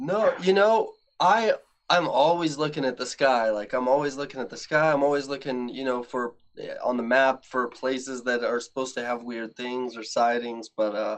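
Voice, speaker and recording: A man with a normal speaking voice talks at a moderate pace, his medium pitch showing ordinary variation. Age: 20s. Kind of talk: casual chat.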